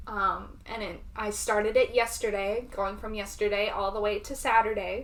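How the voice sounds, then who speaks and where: This woman has a Southern US accent and a fairly high pitch. Her pace is moderate, and her pitch varies in an ordinary way. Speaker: booktuber. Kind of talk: casual reading vlog.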